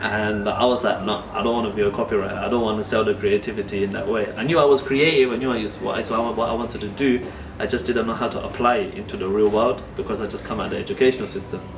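Through noticeable background noise, a man talks with hardly any pauses and ordinary pitch variation. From London. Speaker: artist. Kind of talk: documentary interview. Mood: warm, reflective. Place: workshop.

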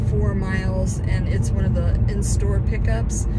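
The speech comes at a fairly slow pace. Loud background noise is present. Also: woman. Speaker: delivery driver vlogger. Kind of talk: casual vlog chat. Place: car. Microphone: phone near.

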